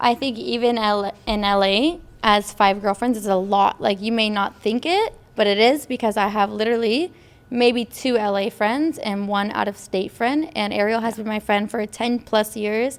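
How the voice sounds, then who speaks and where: Using a plain, everyday voice, this woman keeps a moderate pace and shows ordinary pitch variation. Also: fairly high pitch for a woman. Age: 20s. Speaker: podcast co-host. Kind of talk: casual chat.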